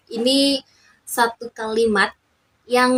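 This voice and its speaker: A woman's fairly high voice comes through with a dry, close sound and no echo. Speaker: YouTuber, communication student. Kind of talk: casual vlog talk.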